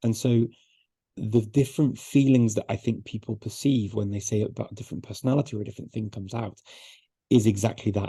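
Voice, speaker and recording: A man's somewhat breathy, dark, mellow voice at medium pitch, fairly quick in pace, with fairly even intonation. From northern England, Liverpool. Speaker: polyglot, language expert. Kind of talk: interview. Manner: repeats words often.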